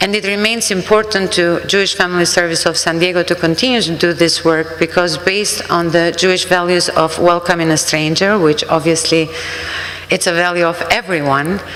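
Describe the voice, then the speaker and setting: A woman with an Albanian accent, fairly low-pitched, fairly quick, with fairly even intonation and very even loudness, plus audible room echo and noticeable background noise. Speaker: refugee services worker. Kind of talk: sermon.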